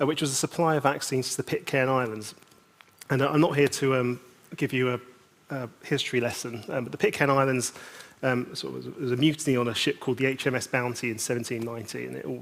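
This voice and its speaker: Speaking at a very fast pace in a British accent, a man keeps his medium pitch under fairly even intonation. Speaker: conference speaker. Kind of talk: conference panel talk. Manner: halting.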